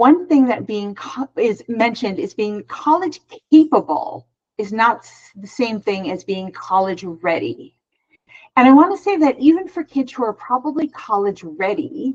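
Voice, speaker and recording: A woman speaks at a high pitch with very wide pitch swings. Her loudness rises and falls in big swings. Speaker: psychologist. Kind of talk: webinar presentation. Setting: online webinar. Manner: fast.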